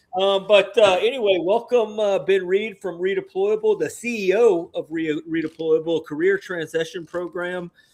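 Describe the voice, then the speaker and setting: In an Alabama accent, the speaker keeps a moderate pace and fairly even intonation, with hardly any pauses. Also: man, high pitch for a man. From US South, Alabama. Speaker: podcast host, veteran. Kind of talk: casual podcast chat.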